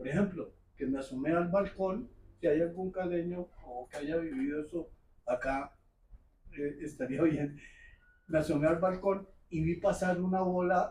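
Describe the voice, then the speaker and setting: This man's high voice has a dark, mellow tone, ordinary pitch variation, and a fairly slow pace. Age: 70s. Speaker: audience member asking a question. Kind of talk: public Q&A comment. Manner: halting.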